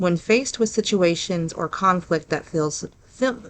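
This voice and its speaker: With an Ohio accent, a woman talks at a moderate pace in a fairly low pitch with ordinary pitch variation. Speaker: paranormal podcast host. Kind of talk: reading aloud.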